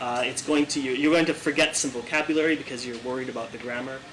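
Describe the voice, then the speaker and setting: A man with a Canadian accent talks at a fairly high pitch with fairly even intonation. Noticeable background noise runs behind him. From Canada. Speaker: IELTS teacher. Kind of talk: talk show interview.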